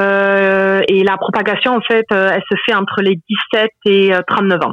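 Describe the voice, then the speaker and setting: With fairly even intonation, this is a plain, everyday voice. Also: woman. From France. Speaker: regular listener. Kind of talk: casual phone chat.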